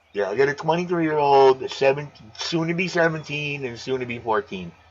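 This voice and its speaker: Over noticeable background noise, a man talks at a fairly quick pace. His pitch is fairly high and his intonation lively. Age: 50s. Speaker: aquarium live streamer. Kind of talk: casual chat. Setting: live stream. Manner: loud.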